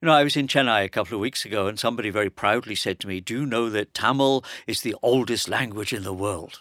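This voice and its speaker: In an English accent, a man speaks at a very fast pace with hardly any pauses, his medium-pitched voice bright and sharp with ordinary pitch variation, the sound dry and close with no echo on a very clean recording with a silent background. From England. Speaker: professor. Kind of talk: panel discussion.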